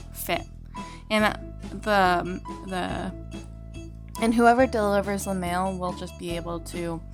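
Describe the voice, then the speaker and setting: Someone speaks at a fairly slow pace with long, frequent pauses as music plays in the background. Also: woman. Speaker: gaming YouTuber. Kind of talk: casual gaming commentary.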